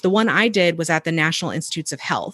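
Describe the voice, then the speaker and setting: An unremarkable speaking voice with ordinary pitch variation over a quiet background. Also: woman. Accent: American. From northern Virginia, US. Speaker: personal finance educator. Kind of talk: casual interview conversation. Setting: video call.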